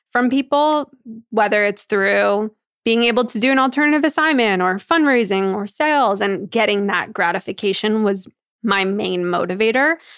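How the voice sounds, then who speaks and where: With an American accent, a woman speaks at a moderate pace and medium pitch, in a normal speaking voice with ordinary pitch variation. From New York. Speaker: entrepreneur. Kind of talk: casual chat.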